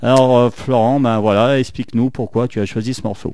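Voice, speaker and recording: A dark, mellow tone with a Saint-Étienne accent. The pace is moderate. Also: man. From France, Saint-Étienne. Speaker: radio host. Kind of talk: radio show.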